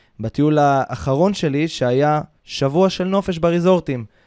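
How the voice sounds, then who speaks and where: In a dry, close recording with no echo, a man with a fairly high, dark and mellow voice speaks with ordinary pitch variation. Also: very clean recording, silent background. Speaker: podcast host, travel consultant. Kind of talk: casual chat. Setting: studio, Ramat Gan.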